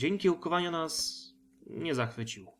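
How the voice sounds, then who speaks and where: Music plays behind a man's voice. He speaks at a fairly slow pace. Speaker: audiobook narrator. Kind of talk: sci-fi short story audiobook reading.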